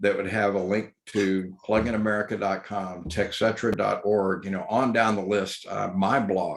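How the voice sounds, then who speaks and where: With a Texas accent, a man talks at a moderate pace in a fairly low pitch, and the recording is very clean with a silent background. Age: 60s. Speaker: electric vehicle educator. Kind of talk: talk with questions.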